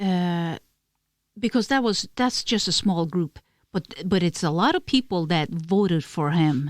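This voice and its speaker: A woman with a Norwegian accent speaks at a fairly slow pace in a fairly low voice, with lively intonation and very even loudness. The recording is very clean and dry, close, with no echo and a silent background. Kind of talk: casual podcast conversation.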